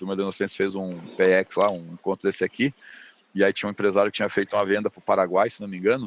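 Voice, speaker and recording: Talking at a very fast pace, a man keeps a flat, monotone intonation while his loudness swings widely. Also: fairly low pitch for a man. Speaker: business consultant lecturer. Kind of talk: lecture over video call.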